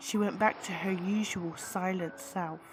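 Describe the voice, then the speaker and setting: With music in the background, a woman speaks very slowly at a medium pitch. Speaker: story narrator. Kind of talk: horror story narration.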